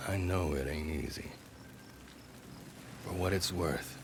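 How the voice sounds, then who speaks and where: A man puts on a gruff, drawling character voice with a very deep, low pitch at a moderate pace, over clear background noise. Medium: video game. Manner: gruff, drawling colloquial.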